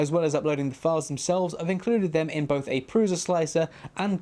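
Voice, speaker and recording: A British accent comes through clearly. The speech moves at a fairly quick pace. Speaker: 3D printing YouTuber. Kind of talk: tutorial. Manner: fast.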